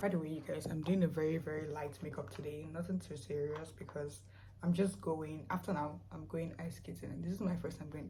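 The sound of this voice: A woman speaks at a fairly quick pace in a low voice with fairly even intonation. Audible room echo surrounds her words.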